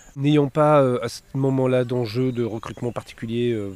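A man with a medium pitch speaks with fairly even intonation at a moderate pace. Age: 40s. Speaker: marketing director. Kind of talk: interview. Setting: outdoors on a park bench. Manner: hesitant, many fillers.

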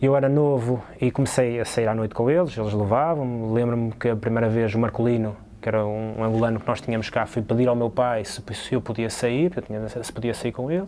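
In a normal speaking voice, a man talks at a fairly quick pace, medium pitch and fairly even intonation. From Portugal, São João da Madeira. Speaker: basketball player. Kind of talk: casual chat. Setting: sports hall.

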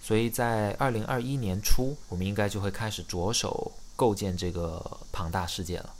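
Fairly low in pitch with ordinary pitch variation, a man speaks at a moderate pace amid audible room echo. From China, Xiamen. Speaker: startup founder. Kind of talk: casual interview chat.

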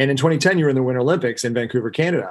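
A plain, everyday voice speaks with ordinary pitch variation. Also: man. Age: 40s. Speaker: podcast host and ski guide. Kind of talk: casual interview.

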